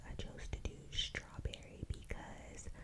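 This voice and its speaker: A woman whispers at a very slow pace. Noticeable background noise sits behind her. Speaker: ASMR creator. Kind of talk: casual talk to camera. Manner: whispered, chill.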